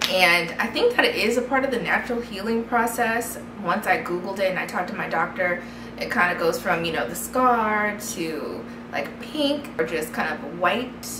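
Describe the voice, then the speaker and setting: Moderate-paced speech from a woman, over noticeable background noise. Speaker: vlogger. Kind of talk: casual vlog chat. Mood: candid, conversational. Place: home room.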